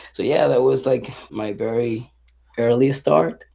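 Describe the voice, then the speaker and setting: Speaking in a Spanish accent, a man keeps a fairly slow pace. His medium pitch shows ordinary variation. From Venezuela. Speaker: punk musician. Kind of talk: interview.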